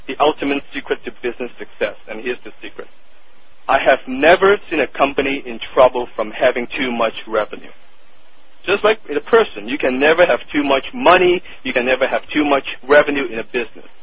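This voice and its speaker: Against noticeable background noise, a man with a Cantonese accent talks at a fairly quick pace and fairly high pitch, with lively intonation. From Hong Kong. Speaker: copywriter. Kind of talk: interview.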